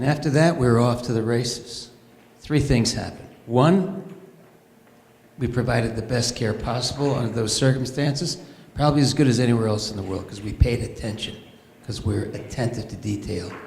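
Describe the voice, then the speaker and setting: With audible room echo, a man speaks at a fairly quick pace in a medium pitch with ordinary pitch variation. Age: 70s. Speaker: physician volunteer at charity event. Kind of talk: speech at fundraiser.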